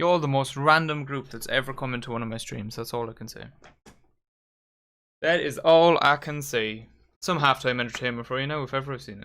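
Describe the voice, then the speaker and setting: Heard on a very clean recording with a silent background, a man with an Irish accent speaks at a fairly quick pace and medium pitch, his bright, sharp tone marked by big swings in loudness and long, frequent pauses. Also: ordinary pitch variation. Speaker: football fan streamer. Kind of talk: live watchalong commentary. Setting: live stream. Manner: casual, chatty.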